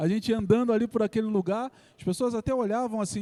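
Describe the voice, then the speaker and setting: A man's high-pitched voice with a Carioca accent, a dark, mellow tone and ordinary pitch variation, dry and close with no echo, in a very clean recording over a silent background. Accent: Carioca, S pronounced like X. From Rio de Janeiro, Brazil. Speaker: pastor. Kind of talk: sermon.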